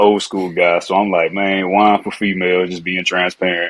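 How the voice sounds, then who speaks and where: In a Louisiana accent, a man speaks at a moderate pace and fairly low pitch. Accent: Louisiana accent, noticeable. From Louisiana (Alexandria), then Fayetteville, North Carolina. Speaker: former pro football player, wine entrepreneur. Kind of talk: podcast interview.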